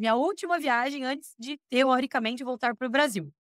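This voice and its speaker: Recorded very cleanly over a silent background, with a dry, close sound and no echo. A woman speaks at a fairly quick pace in a high, animated voice. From Brazil, Curitiba (Paraná). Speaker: expatriate interviewee. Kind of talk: casual interview chat, personal storytelling.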